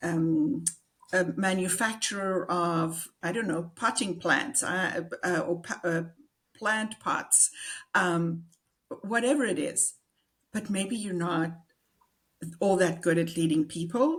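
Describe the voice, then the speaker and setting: A woman with a South African accent speaks at a very slow pace with long, frequent pauses. Her voice is fairly low and somewhat breathy, with ordinary pitch variation. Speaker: executive and business coach. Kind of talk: interview.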